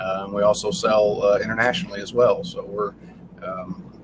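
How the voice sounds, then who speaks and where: Noticeable background noise sits under a man speaking with a slight Southern Illinois accent. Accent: slight Southern twang, Southern Illinois. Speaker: family business owner, smoker manufacturer. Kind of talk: casual interview. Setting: inside a bus at a food festival. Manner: halting, many fillers.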